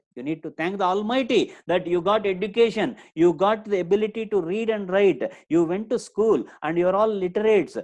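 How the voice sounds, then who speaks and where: A man with an Indian accent speaks at a fairly quick pace in a high pitch with ordinary pitch variation. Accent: Indian English, Telugu. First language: Telugu. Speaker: spoken English trainer. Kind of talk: online lecture. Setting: live online session. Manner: repetitive, emphatic.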